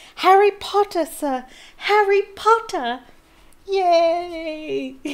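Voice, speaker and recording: Squeaky and extremely high, this put-on character voice moves at a very slow pace. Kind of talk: reading aloud with character voices. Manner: squealing, excited.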